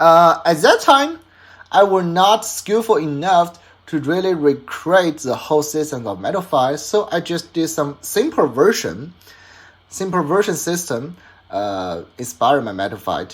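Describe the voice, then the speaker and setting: Speaking fairly slowly with a Chinese accent, a man uses a high pitch and very wide pitch swings. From China. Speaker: hobbyist toy designer and YouTuber. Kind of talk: casual vlog summary. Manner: halting, many fillers and restarts.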